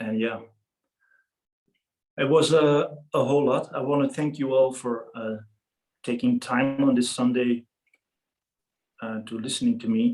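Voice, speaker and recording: With a non-native accent, a man speaks at a medium pitch and a fairly slow pace. His intonation is fairly even, broken by long, frequent pauses. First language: not English. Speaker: freediving safety presenter. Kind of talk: lecture.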